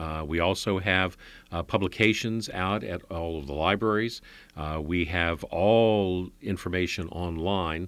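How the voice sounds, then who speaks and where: Recorded very cleanly against a silent background, the speaker has an American accent and ordinary pitch variation. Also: man. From Northern Virginia, Alexandria. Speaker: county government executive. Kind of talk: interview.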